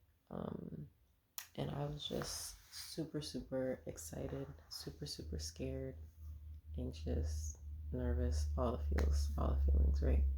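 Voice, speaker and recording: Very deep and low in pitch, a soft-spoken woman talks very slowly in a monotone, flat intonation with vocal fry and a dark, mellow tone. Audible room echo surrounds her voice. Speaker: vlogger sharing birth experiences. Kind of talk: casual personal vlog.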